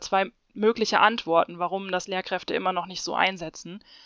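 A woman talks at a moderate pace with fairly even intonation in a plain, everyday voice. The sound is dry and close with no echo, and the background is quiet. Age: 30s. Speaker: PhD researcher in physics education. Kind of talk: interview.

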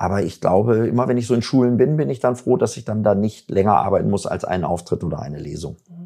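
A man's dark, mellow, fairly low voice carries vocal fry. He talks very fast with hardly any pauses. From Germany, Bielefeld (Jöllenbeck). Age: 50s. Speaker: musician and agency owner. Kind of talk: casual interview.

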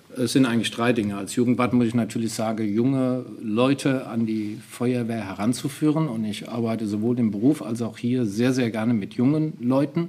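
A man at medium pitch, with fairly even intonation and hardly any pauses, over noticeable background noise. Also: moderate pace. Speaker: youth fire brigade leader. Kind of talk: interview.

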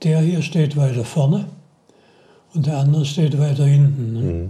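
Amid audible room echo, a man speaks in a dark, mellow tone that is somewhat breathy, at a fairly high pitch. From Baden-Württemberg, Heilbronn district. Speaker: retired automotive engine engineer. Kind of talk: interview storytelling. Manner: halting with repetitions.

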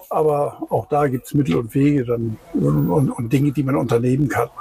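A fairly high-pitched man at a moderate pace, ordinary pitch variation, noticeable background noise. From Rhineland, Germany. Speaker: beach tourist train driver. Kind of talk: casual interview. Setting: outdoors, in the tourist train.

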